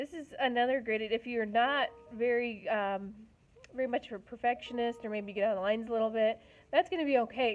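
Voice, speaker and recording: This woman has a plain, everyday voice, fairly high in pitch, with ordinary pitch variation and a fairly quick pace. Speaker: art teacher. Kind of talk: tutorial.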